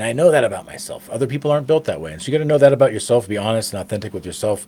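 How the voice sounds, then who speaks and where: Loud, with ordinary pitch variation, a man is heard over noticeable background noise. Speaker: motivational speaker. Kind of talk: motivational talk. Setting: studio. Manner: casual, filler-heavy.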